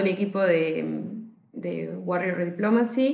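A woman's medium-pitched voice comes with audible room echo. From Argentina (raised partly in Switzerland). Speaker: podcast team member, news researcher. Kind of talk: casual chat.

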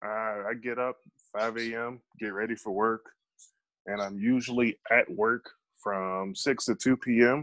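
A normal speaking voice, dry and close with no echo, at a fairly slow pace with fairly even intonation. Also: man, medium pitch for a man. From Chicago. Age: 30s. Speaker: professional MMA fighter. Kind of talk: podcast interview.

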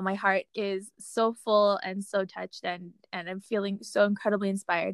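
At a medium pitch and moderate pace, a woman with an unremarkable speaking voice is heard on a very clean recording with a silent background, the sound dry and close with no echo. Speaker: podcast host. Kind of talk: casual outro. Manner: warm, laughing.

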